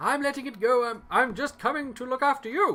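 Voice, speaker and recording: Using a put-on character voice, the speaker delivers lines in a confident tone at a moderate pace. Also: man. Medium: actual play. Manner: confident, gallant.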